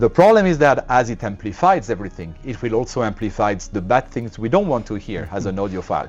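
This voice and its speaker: With music in the background, a man of medium pitch talks at a very fast pace in a French accent, with hardly any pauses. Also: lively intonation. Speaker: loudspeaker company representative. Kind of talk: interview explaining a product. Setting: hi-fi dealer showroom event. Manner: hesitant, with many filler sounds.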